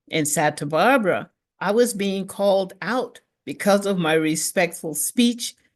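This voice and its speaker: An ordinary speaking voice with an American accent moves at a fairly slow pace. The intonation is lively, over a quiet background. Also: woman. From Mississippi, US South. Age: 60s. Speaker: reverend, speaker. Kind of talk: prepared talk, personal testimony.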